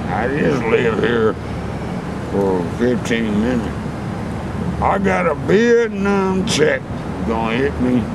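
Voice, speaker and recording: The sound is dry with no echo, but loud background noise fills the clip. Speech comes at a very slow pace with long, frequent pauses. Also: man. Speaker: interviewee. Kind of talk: rambling casual street interview. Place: garden. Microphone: phone near.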